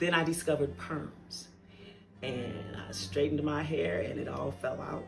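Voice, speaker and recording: A woman's very deep, low-pitched voice over background music. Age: 60s. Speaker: advice show host. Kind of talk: personal storytelling monologue.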